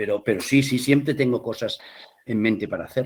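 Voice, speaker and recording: A man's medium-pitched voice at a moderate pace. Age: 60s. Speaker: theatre director and playwright. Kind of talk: interview. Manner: animated.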